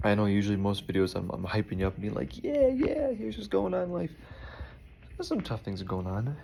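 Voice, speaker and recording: A man's quiet, fairly low voice over noticeable background noise. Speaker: video blogger talking to his partner. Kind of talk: casual personal video message. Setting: indoors, unpacking packages. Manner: quiet, low voice; casual, chatty.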